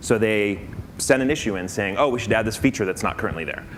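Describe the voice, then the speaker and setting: A man at a fairly low pitch and very fast pace, with ordinary pitch variation, audible room echo and noticeable background noise. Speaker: conference speaker. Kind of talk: conference talk.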